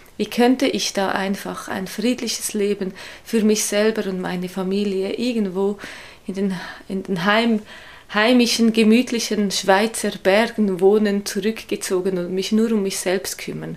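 A woman speaks at a fairly slow pace with a Swiss German accent. Her medium-pitched voice stays monotone and flat. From Switzerland. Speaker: street evangelist. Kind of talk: interview.

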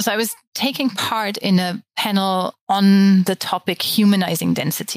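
A woman with a German accent at a moderate pace, fairly even intonation and hardly any pauses, on a very clean recording with a silent background. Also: medium pitch for a woman. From Germany. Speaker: architect. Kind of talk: interview.

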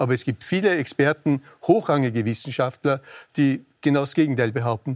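A plain, everyday voice from a man, fairly high in pitch, fairly quick in pace, with ordinary pitch variation. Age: 60s. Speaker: infectious disease specialist. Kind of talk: TV panel debate.

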